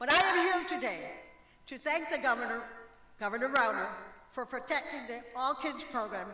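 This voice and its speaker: A raised, projected voice comes through noticeable background noise, broken by long, frequent pauses. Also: woman, high pitch for a woman, lively intonation, moderate pace. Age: 70s. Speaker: retired health center director. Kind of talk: prepared speech.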